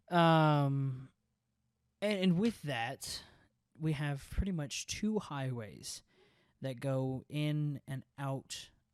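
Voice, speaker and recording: Recorded very cleanly against a silent background, a man speaks with a Southern US accent. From US South, rural Texas. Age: 20s. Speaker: podcast host. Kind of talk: casual monologue. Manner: animated.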